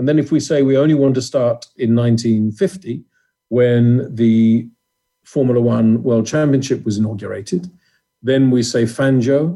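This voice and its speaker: A man with a British accent speaks at a fairly slow pace, his medium-pitched voice dark and mellow in tone, with ordinary pitch variation and very even loudness. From England. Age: 50s. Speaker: former motorsport journalist and communications director. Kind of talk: interview.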